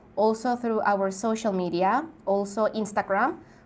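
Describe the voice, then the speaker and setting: A woman's fairly high voice with a Spanish accent at a fairly slow pace. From Mexico. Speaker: travel YouTuber. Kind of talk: live stream Q&A. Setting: live stream.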